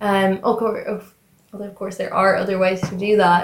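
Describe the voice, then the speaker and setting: A woman with an Irish accent speaks at a medium pitch. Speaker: recent school leaver. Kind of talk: casual chat.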